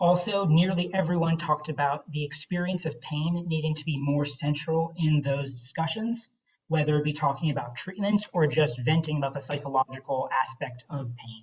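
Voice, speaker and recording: A somewhat breathy man's voice, fairly high in pitch, at a moderate pace with hardly any pauses and ordinary pitch variation. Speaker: director of education at a patient foundation. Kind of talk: presentation in a video-call meeting. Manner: hesitant, many fillers.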